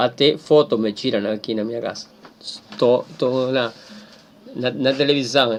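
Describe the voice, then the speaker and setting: A man with a Spanish accent speaks at a fairly slow pace, leaving long, frequent pauses. His medium pitch and fairly even intonation come through noticeable background noise. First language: Spanish (speaking Portuguese). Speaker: teacher. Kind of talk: lecture. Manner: halting.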